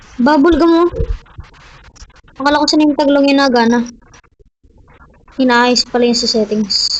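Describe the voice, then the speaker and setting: A soft-spoken woman's high voice with ordinary pitch variation, very even loudness, a moderate pace, and long, frequent pauses. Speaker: gaming YouTuber. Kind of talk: gameplay commentary.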